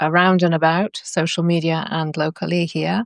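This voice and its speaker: In a British accent, a woman speaks at a fairly low pitch, the sound dry and close with no echo and the background quiet. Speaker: workshop facilitator. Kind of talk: casual chat.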